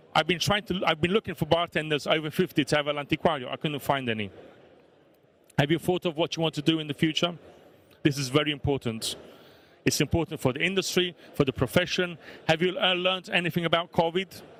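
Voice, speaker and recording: A man with a Neapolitan accent talks at a very fast pace in a fairly high voice, with ordinary pitch variation and long, frequent pauses. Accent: Italian (Neapolitan) accent in English. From Italy, Naples. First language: Italian. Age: 40s. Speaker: bar owner. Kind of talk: talk to an audience. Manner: animated.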